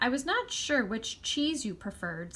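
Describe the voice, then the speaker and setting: A woman's high, squeaky, put-on character voice at a moderate pace, with light background noise. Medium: read story.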